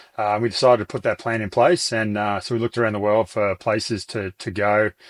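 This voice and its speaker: A man with an Australian accent speaks at a fairly low pitch and a fairly quick pace, with fairly even intonation. The sound is dry and close with no echo, on a very clean recording with a silent background. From regional Australia. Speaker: business owner. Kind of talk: interview. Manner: halting.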